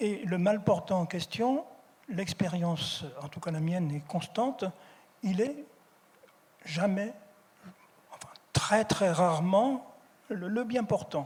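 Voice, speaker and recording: A man with a high pitch talks at a very slow pace, leaving long, frequent pauses, his intonation lively. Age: 70s. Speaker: philosopher. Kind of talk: public conference talk. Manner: hesitant, many repetitions.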